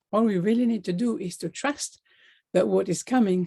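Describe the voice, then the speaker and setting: A woman speaks with a non-native accent and a dark, mellow tone. Her pace is moderate, with ordinary pitch variation. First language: not English. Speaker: life coach. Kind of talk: motivational talk.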